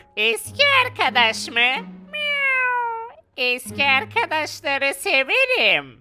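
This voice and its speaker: A female-sounding voice delivers a put-on character voice at a very slow pace. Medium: machinima. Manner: meows now and then.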